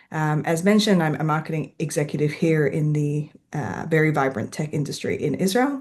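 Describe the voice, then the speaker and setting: A woman with an Australian accent speaks in a very deep, low pitch. Her pitch variation is ordinary, and the background is quiet. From Western Australia (Perth). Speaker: author. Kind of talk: author talk presentation.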